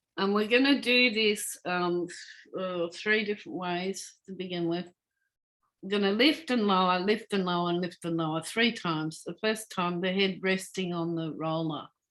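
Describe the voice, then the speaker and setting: In an Australian accent, a woman speaks in a calm tone at a medium pitch with ordinary pitch variation. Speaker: Feldenkrais practitioner. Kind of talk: guided movement lesson. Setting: video call. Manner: calm, slow instructional.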